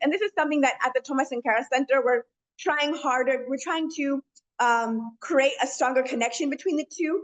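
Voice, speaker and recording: A woman's high voice with ordinary pitch variation. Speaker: panelist at a community center. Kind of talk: webinar talk. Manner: fast; hesitant, many fillers.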